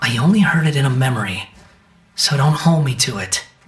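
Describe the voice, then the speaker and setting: A cartoonish character voice at a low-to-middle pitch moves at a fairly quick pace. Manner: curt, sardonic.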